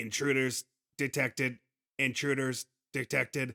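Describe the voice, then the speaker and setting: A man's robotic, put-on character voice, medium in pitch and flat in intonation, at a moderate pace. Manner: mechanical, repetitive announcement.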